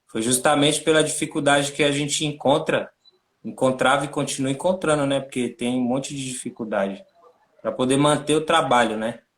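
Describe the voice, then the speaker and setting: At a moderate pace, a man speaks in a fairly high voice with fairly even intonation. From Brazil, São Paulo (Capão Redondo). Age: 30s. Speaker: NGO co-founder and director. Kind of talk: interview on a livestream. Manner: casual, slangy.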